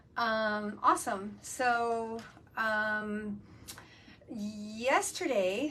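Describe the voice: Her voice is fairly high for a woman and has a fairly bright tone.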